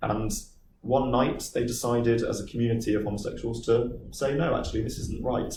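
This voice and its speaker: With audible room echo, a man talks at a moderate pace in a dark, mellow tone with vocal fry. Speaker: business manager speaking to a school group. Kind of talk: talk with Q&A to pupils.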